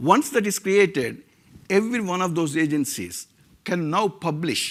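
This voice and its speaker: In a very clean recording with a silent background, a man talks in a high voice with lively intonation. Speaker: tech founder. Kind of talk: conference talk.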